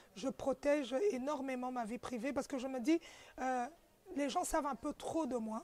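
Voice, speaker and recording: Using ordinary pitch variation, a woman with a high pitch speaks at a moderate pace. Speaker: journalist. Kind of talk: interview.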